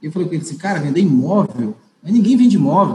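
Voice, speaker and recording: High in pitch for a man, his voice moves at a fairly quick pace. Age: 30s. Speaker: regional real estate sales manager. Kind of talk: casual interview chat.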